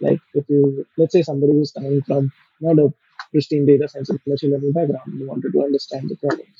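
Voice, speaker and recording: A man talks at a very fast pace in a fairly high, somewhat breathy voice. His intonation is monotone and flat. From India. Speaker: ML engineer and business lead. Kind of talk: podcast interview.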